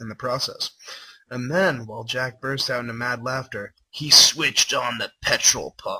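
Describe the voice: Intonation holds fairly even through this plain reading aloud.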